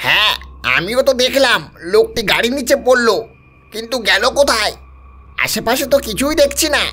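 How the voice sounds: A man puts on a character voice pitched extremely high, projecting it loudly at a moderate pace.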